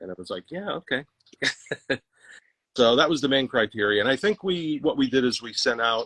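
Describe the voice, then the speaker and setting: At a fairly quick pace with long, frequent pauses, a medium-pitched man's voice shows very wide pitch swings and big swings in loudness, in a dry, close sound with no echo. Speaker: musician in a cover band. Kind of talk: livestream interview.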